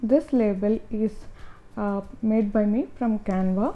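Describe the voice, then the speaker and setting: A woman speaks very slowly while music plays in the background. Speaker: skincare maker. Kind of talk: tutorial narration.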